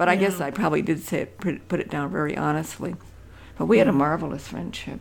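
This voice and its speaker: Her fairly low voice carries vocal fry as this woman speaks very fast with ordinary pitch variation. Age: 80s+. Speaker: author and retired hiker. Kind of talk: casual chat. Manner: halting.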